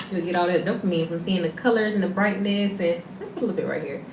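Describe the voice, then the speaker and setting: A woman with a Southern US accent at a medium pitch and a very fast pace, ordinary pitch variation, audible room echo and noticeable background noise. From US South. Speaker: beauty livestreamer. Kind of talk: casual livestream makeup tutorial.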